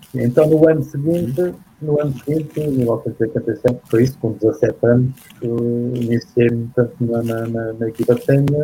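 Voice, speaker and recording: A man speaks at a fairly slow pace in a dark, mellow, somewhat breathy tone, at medium pitch with ordinary pitch variation. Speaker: former roller hockey player. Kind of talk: interview. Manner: halting.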